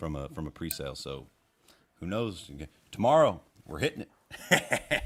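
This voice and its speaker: A man speaks at a moderate pace in a very deep, low voice with vocal fry. His pitch swings very widely, and he takes long, frequent pauses. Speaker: country singer. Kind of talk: casual chat. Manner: animated.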